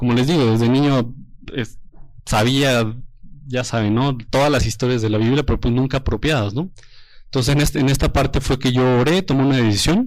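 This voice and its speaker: A man's normal speaking voice, fairly quick, with very even loudness and fairly even intonation. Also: medium pitch for a man. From Mexico, Toluca. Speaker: engaged churchgoer giving testimony. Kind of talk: testimony.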